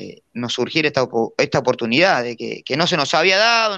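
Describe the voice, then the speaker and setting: Over a quiet background, a man with a Rioplatense accent speaks at a moderate pace in a bright, sharp tone. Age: 30s. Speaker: jockey. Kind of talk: casual interview.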